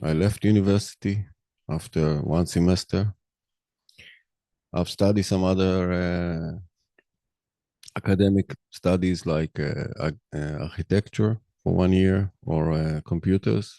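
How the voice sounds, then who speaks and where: A man with a very deep, low voice and a dark, mellow tone, in a non-native accent, at a fairly slow pace with long, frequent pauses, ordinary pitch variation, and a dry, close sound with no echo. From Israel. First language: Hebrew. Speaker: podcaster. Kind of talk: monologue. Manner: halting.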